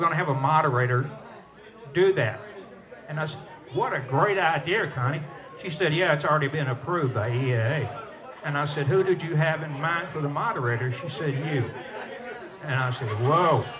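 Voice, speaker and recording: Amid audible room echo and crowd noise in the background, a man with a fairly high pitch and ordinary pitch variation talks at a fairly quick pace. His pauses are long and frequent. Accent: Southern US. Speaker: storyteller and former Air Force pilot. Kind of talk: stage talk to audience. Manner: conversational, folksy.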